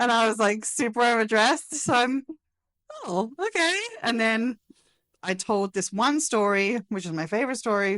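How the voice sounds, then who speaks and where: A woman with an English accent, fairly high in pitch and animated, at a moderate pace with ordinary pitch variation. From England. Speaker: spouse of an employee. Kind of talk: casual interview.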